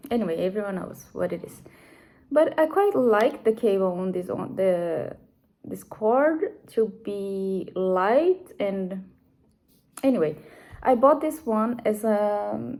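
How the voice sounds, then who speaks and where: With a Brazilian accent, a woman speaks at a very slow pace in a fairly high pitch, her tone dark and mellow and her intonation lively. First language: Portuguese. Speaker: knitting podcaster. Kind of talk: casual chat. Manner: halting, with fillers.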